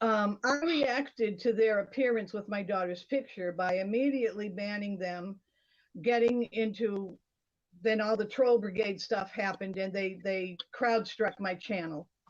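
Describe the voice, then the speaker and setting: A woman speaks in a plain, everyday voice with an American accent. Her pitch is medium with ordinary pitch variation, and her pace is fairly slow. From US Northeast, Boston, Massachusetts. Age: 60s. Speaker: livestream participant. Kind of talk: testimony.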